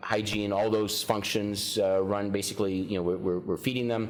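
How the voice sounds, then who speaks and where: Noticeable background noise and audible echo from the room accompany a man's voice. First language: Ukrainian. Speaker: county sheriff. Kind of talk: interview.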